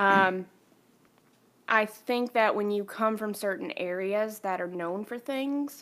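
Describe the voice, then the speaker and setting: Very slow speech from a woman with a fairly high pitch and ordinary pitch variation, on a very clean recording with a silent background. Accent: Southern US. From North Carolina, Kannapolis. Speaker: podcast guest. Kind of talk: casual chat.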